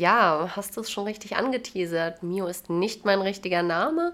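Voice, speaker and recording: A woman with an ordinary speaking voice at medium pitch, a fairly slow pace, and a very clean recording over a silent background. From Jena, Thuringia, Germany. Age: 20s. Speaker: lab worker. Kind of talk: casual chat. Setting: host's home.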